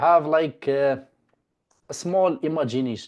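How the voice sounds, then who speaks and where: The speaker has a non-native accent and a fairly slow pace. The background is quiet. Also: man. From Morocco. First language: not English. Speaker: domain investing teacher. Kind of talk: online class session.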